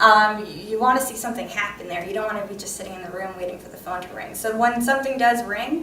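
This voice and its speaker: A woman talks very fast in a room with audible echo, her pitch varying in an ordinary way over noticeable background noise. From New York. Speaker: election monitoring lawyer. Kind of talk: conference panel talk.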